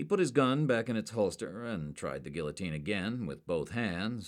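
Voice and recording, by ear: A natural voice reads the text out loud. Nothing about it sounds put on.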